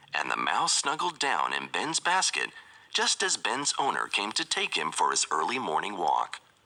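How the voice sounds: What you hear is a natural reading voice.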